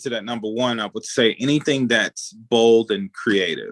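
A man speaks with a Mississippi accent at a fairly slow pace. The sound is dry and close with no echo. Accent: Southern US (Mississippi). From US South, Mississippi (Edwards, near Jackson). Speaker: chef. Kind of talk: casual interview.

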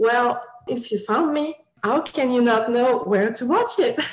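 A woman uses a normal speaking voice at a fairly high pitch, with ordinary pitch variation and a moderate pace. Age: 20s. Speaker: fan website creator. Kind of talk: casual chat.

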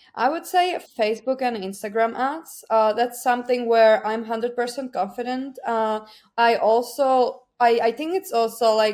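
A woman with a Czech accent, fairly high in pitch, at a moderate pace with ordinary pitch variation. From Czech Republic. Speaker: digital marketing account manager. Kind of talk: interview. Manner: hesitant with many fillers.

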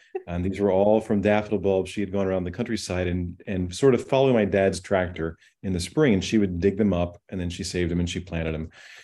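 This voice has a dark, mellow tone and an American accent, with ordinary pitch variation. It moves at a very fast pace over a quiet background. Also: man. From rural Illinois. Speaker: daffodil grower and hybridizer. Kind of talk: interview conversation.

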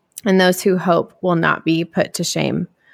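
On a very clean recording with a silent background and a dry, close sound with no echo, a woman talks at a moderate pace with vocal fry. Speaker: podcast host.

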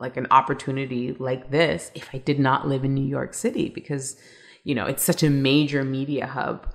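A woman with a Canadian accent speaks in a very deep, low voice with vocal fry, on a very clean recording with a silent background. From Canada, Toronto. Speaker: travel TV host and blogger. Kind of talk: interview.

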